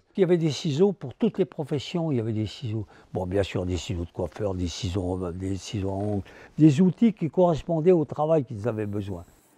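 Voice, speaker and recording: A man talks at a fairly quick pace in a dark, mellow, somewhat breathy tone. His pitch swings very widely. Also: medium pitch for a man. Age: 80s+. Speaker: scissor maker. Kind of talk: interview answer.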